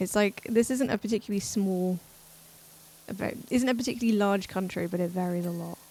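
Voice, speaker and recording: Speaking at a medium pitch, a woman talks with an English accent. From England. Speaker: streamer. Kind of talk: casual chat. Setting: live stream.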